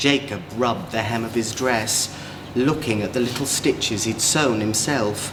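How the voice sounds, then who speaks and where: With a warm, playful tone, a man speaks at a fairly slow pace and with ordinary pitch variation over noticeable background noise. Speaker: drag queen performing a children's story time. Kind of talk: children's storybook read-aloud. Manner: warm, playful, inviting.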